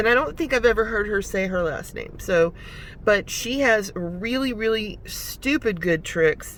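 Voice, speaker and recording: A woman speaks in a normal speaking voice. Her pace is moderate, with ordinary pitch variation. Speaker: YouTuber and delivery driver. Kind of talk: casual vlog talk to camera. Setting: in a parked car.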